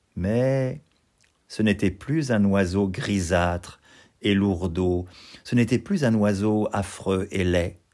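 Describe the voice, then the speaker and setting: In a gentle, soothing tone, a man speaks at a very slow pace with long, frequent pauses, very even loudness and ordinary pitch variation. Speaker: storyteller. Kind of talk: bedtime story telling, read-aloud fairy tale. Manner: gentle, soothing, expressive storyteller's delivery.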